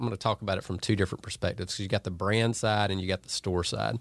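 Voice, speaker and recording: A man speaks with a Georgia accent at a fairly low pitch. His intonation is fairly even. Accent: US Southern (Georgia). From Northeast Georgia, Franklin County. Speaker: clothing brand owner. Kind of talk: casual interview.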